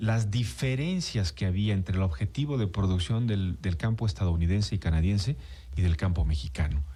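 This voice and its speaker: A man with an unremarkable speaking voice holds a fairly low pitch and a moderate pace. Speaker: radio host. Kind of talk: radio interview host talk.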